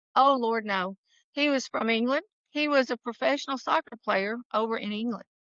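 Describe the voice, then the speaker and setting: Speaking at a moderate pace, a woman with a fairly high pitch has an unremarkable speaking voice. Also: ordinary pitch variation. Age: 60s. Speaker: real estate attorney. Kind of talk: casual chat.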